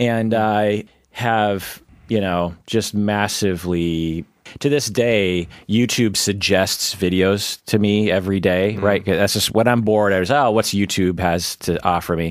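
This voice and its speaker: In a very clean recording with a silent background, a man with an American accent and a normal speaking voice talks fairly slowly at a fairly low pitch with fairly even intonation. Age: 40s. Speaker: psychologist podcast host. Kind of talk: casual chat.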